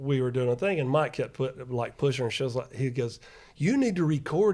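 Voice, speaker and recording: His voice carries a dark, mellow tone. The man talks at a fairly quick pace. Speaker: company representative. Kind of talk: casual chat.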